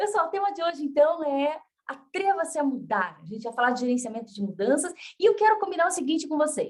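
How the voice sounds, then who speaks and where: A woman's high-pitched, animated voice at a very fast pace, with very wide pitch swings. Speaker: motivational speaker. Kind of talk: lecture. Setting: video call.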